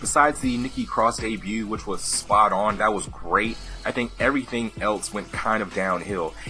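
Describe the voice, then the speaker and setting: Music plays in the background as a man speaks at a moderate pace in an upbeat tone. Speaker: wrestling commentator / YouTuber. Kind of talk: casual talk to camera. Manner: casual, upbeat.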